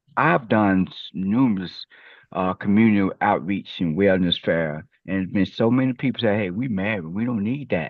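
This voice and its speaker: A fairly low-pitched man with a Memphis accent. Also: ordinary pitch variation, moderate pace. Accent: Southern US (Memphis). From US South. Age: 60s. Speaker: HIV community advocate. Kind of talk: panel discussion.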